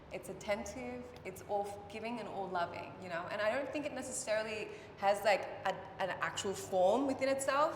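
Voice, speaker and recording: In an Australian accent, a woman speaks at a fairly quick pace with medium pitch and lively intonation. There is audible room echo and noticeable background noise. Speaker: artist. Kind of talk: casual interview. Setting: art gallery opening night.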